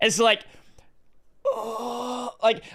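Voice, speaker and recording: A man with an Australian accent talks in a bright, sharp tone. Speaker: gaming streamer. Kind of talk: casual chat. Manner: halting.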